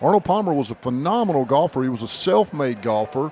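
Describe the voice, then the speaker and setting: A man with a slight Southern US accent speaks over noticeable background noise. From North Carolina, US South. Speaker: podcast co-host. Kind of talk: casual chat.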